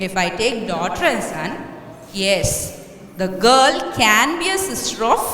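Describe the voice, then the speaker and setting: A high-pitched woman's voice with audible room echo and noticeable background noise. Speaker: maths teacher. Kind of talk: lecture. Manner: slow.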